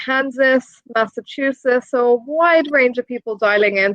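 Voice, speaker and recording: A woman with an Irish accent speaks with a high pitch. Her pace is moderate. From Ireland. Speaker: presenter. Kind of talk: live stream hosting.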